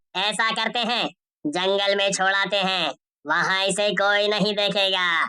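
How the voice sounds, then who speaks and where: A female-sounding, cartoonish character voice sits at a middle pitch. It moves at a very slow pace. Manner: sly, cackling.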